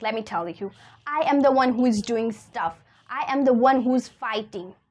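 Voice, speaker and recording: With a non-native accent, a woman talks in an animated tone at a high pitch. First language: not English. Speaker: self-help content creator. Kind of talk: motivational talk.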